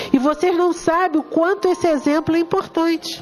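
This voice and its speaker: Music plays in the background as a woman talks at a moderate pace in an animated tone. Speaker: spiritist lecturer. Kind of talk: lecture.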